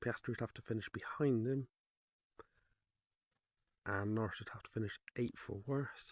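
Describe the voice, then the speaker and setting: At a moderate pace, a man speaks in a somewhat breathy voice, recorded with a dry, close sound and no echo. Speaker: motorsport commentator. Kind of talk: casual sports commentary.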